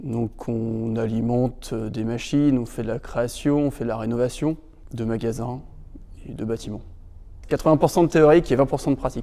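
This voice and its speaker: With a dark, mellow tone and a medium pitch, a man speaks at a moderate pace with fairly even intonation and long, frequent pauses. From northern France, Normandy (Rouen). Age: 20s. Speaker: electrical engineering project manager, former apprentice. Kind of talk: interview testimony. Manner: hesitant, many filler sounds.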